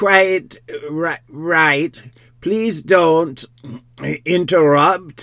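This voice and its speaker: A man's put-on character voice, high in pitch. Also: fairly even intonation. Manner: curious jerking intonation.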